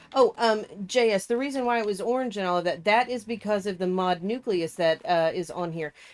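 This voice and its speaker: A woman with an ordinary speaking voice talks at a fairly quick pace in a medium pitch, with hardly any pauses and ordinary pitch variation. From United States, born in Canada. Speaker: gaming streamer. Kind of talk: casual chat while gaming.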